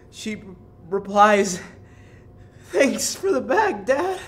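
Fairly slow speech from a man, high-pitched. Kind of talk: joke telling, comedic reading. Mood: deadpan, playful, laughing at end. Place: studio. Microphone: handheld.

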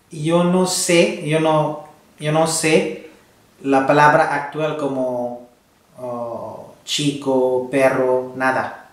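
In a room with audible echo, a man with a fairly high voice speaks very slowly with ordinary pitch variation. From India. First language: non-Spanish (Indian language / English) (speaking Spanish). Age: 20s. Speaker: host's husband, Spanish learner; host's husband. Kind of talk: casual chat. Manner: halting, hesitant. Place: home room.

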